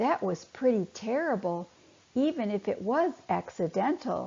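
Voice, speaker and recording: Using a put-on character voice, a woman speaks fairly high in pitch at a moderate pace. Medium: read story. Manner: cautious, stuttering.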